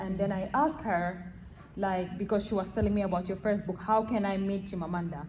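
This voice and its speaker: A woman with a non-native accent, medium in pitch, fairly even in intonation and fairly quick in pace, with audible room echo. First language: not English. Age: young. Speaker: audience member. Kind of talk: audience question. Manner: halting.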